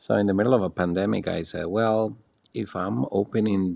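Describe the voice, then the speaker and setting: Man with a Spanish accent on a very clean recording with a silent background. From Costa Rica. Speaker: luxury hotel managing director. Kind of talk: interview. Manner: calm; formal.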